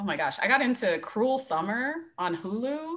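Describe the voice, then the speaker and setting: A woman with an American accent speaks in a bright, sharp tone with very wide pitch swings. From Las Vegas, Nevada. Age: 30s. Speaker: college volleyball head coach. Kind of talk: casual interview.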